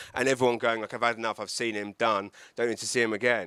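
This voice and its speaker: A man with an English accent speaks in a bright, sharp tone, recorded dry and close with no echo on a very clean track with a silent background. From England. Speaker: comedian. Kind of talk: talk to live audience. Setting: event with audience, handheld mic, live streamed. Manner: halting, many repetitions.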